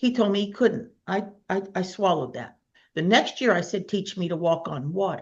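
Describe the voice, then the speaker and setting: A woman speaks in an ordinary speaking voice at medium pitch. Her pace is moderate, with ordinary pitch variation. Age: 60s. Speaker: minister and healer. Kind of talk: casual chat.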